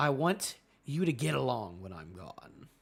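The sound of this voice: Using a put-on character voice, a man talks at medium pitch and a moderate pace while his pitch swings very widely.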